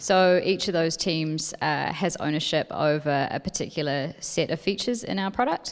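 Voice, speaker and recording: This woman has a fairly low pitch and an ordinary speaking voice. She talks at a moderate pace with ordinary pitch variation and hardly any pauses. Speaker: software developer. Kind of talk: conference panel answers.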